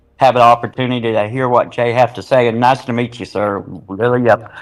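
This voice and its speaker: A man at a medium pitch speaks with ordinary pitch variation in a normal speaking voice. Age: 60s. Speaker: truck driver and army veteran. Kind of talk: personal testimony.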